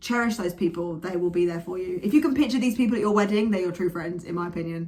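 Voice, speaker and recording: Amid noticeable background noise, a woman with an English accent speaks in an animated tone with ordinary pitch variation. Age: 20s. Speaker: vlogger and actress. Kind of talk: casual vlog monologue. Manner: loud.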